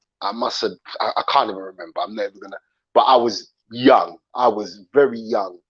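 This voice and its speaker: A man with a British accent speaks with fairly even intonation and big swings in loudness, in a dry, close sound with no echo. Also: medium pitch for a man, moderate pace. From London, England. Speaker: YouTube livestream host. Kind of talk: livestream commentary chat. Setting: live stream. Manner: casual, repetitive, with fillers.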